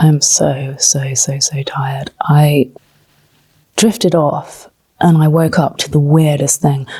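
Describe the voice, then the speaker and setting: Very slowly, a woman speaks with a very deep, low pitch, a dark, mellow tone, some breathiness and fairly even intonation. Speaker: travel vlogger. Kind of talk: vlog narration. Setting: hotel room.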